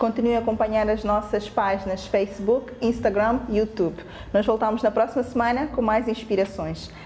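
Light background noise sits behind a woman with a fairly high pitch. She keeps a moderate pace, monotone, flat intonation and very even loudness. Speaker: interviewer host. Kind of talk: interview. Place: home room.

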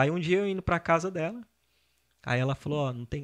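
A man with a plain, everyday voice talks at a fairly quick pace with lively intonation. The audio is dry and close with no echo, a very clean recording with a silent background. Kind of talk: casual chat.

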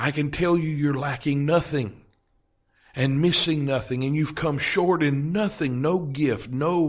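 A man talks fairly slowly, with the background staying quiet. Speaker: podcast host and Bible teacher. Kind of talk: podcast sermon teaching. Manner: whispery. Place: home room.

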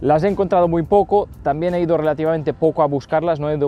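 Over a dry sound with no echo, a man talks at a very fast pace. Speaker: fishing channel host. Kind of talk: Q&A vlog answers. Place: waterside. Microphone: lapel.

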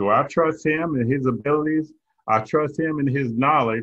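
This man has a Southern US accent and speaks at a moderate pace with ordinary pitch variation. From eastern North Carolina, US South. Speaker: network marketing recruit. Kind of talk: testimony. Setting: video call.

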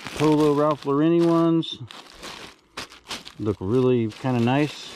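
Light background noise sits under the voice. The sound is dry, with no echo. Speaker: storage unit reseller. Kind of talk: casual vlog commentary. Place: garden. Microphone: phone near.

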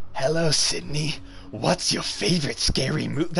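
The speaker uses a put-on character voice at a moderate pace. Background noise is clearly present. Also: man, fairly high pitch for a man. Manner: menacing, taunting.

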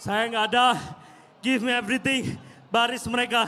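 The speaker has an excited, animated tone. Light noise runs in the background. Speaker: commentator. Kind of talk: live commentary. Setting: boxing event broadcast. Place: stadium. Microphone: handheld.

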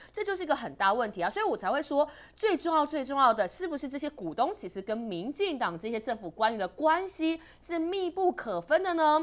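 A woman's high-pitched voice, very wide pitch swings, a fairly quick pace and hardly any pauses. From Taiwan. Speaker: Kuomintang city councillor. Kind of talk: panel discussion. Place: studio. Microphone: lapel.

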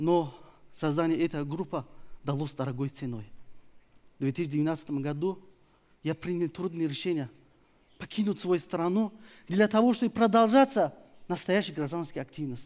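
A man speaks at a moderate pace with a Tajikistan accent and a high pitch. His intonation is lively, broken by long, frequent pauses. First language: Tajik (speaking Russian). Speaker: opposition activist; speaker. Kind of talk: prepared speech. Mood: earnest, serious. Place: stage. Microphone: headset.

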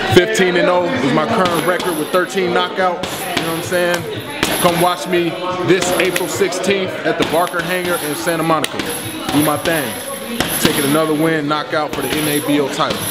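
Loud noise fills the background while the words come at a moderate tempo. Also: man. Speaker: professional boxer. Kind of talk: fight promo to camera. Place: gym.

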